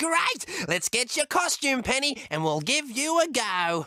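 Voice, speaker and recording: This is a put-on character voice, high in pitch, with very wide pitch swings. The pace is fairly slow. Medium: read story. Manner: giggly, cheerful.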